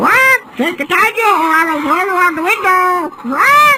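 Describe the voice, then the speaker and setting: An extremely high-pitched put-on character voice speaks at a moderate pace. Loud background noise runs underneath. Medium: read story.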